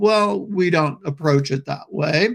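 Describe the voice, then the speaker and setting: A man in a normal speaking voice, fairly slow, with ordinary pitch variation. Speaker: psychotherapist and trainer. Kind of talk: lecture. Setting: webinar.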